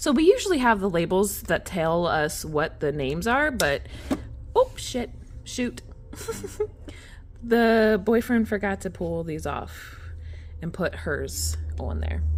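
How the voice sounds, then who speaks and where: Long, frequent pauses break up a woman's very slow delivery. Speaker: vlogger. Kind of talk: casual chat. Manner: loud; rambling, casual.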